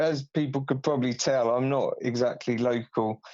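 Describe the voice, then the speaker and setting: A man with a southern English accent, fairly high in pitch, at a fairly slow pace with ordinary pitch variation. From southern England, near Aylesbury. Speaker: radio sports presenter. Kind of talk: casual interview. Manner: halting.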